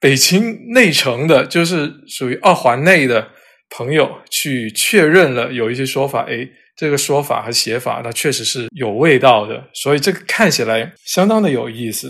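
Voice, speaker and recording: At a moderate pace, a man speaks with lively intonation. He has a plain, everyday voice. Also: fairly high pitch for a man. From southern China, Cantonese-speaking area. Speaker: editor and character encoding expert. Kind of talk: interview. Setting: remote recording.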